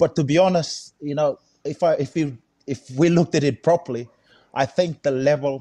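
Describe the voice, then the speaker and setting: Against a quiet background, a man speaks at a moderate pace in a fairly high, dark, mellow voice with ordinary pitch variation. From Fiji. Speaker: rugby head coach. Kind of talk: casual chat. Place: home room. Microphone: video call.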